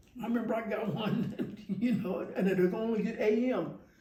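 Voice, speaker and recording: A man with a high voice talks at a fairly quick pace with ordinary pitch variation, amid audible room echo. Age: 70s. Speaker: percussionist and music teacher. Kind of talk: interview. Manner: halting, many repetitions.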